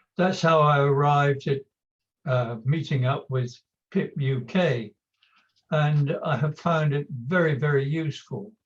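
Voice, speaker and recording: Somewhat breathy and fairly high in pitch, a man talks at a fairly slow pace with ordinary pitch variation. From England, Somerset. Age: 80s+. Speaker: retired chemist with Poland syndrome. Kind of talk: interview.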